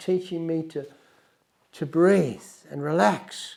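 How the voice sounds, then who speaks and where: An Australian accent marks this man's high-pitched voice. His tone is dark and mellow, his intonation lively. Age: 70s. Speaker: wildlife filmmaker and podcast host. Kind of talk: personal storytelling monologue.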